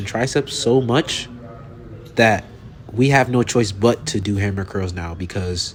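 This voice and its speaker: Noticeable background noise fills the recording. Over it, a man speaks at a fairly slow pace. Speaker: fitness vlogger. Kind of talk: casual voiceover. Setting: voiceover over gym footage. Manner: halting.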